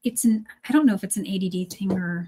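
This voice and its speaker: A woman's somewhat breathy, dark, mellow tone. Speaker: beading designer and presenter. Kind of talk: casual chat. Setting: livestream. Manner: fast.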